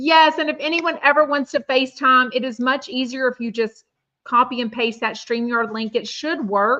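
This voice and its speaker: In a Texan accent, a woman speaks in a raised, projected voice that is high-pitched and bright, sharp in tone, at a moderate pace with ordinary pitch variation. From Texas, Houston. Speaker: podcast host. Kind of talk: casual live-stream chat. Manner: animated.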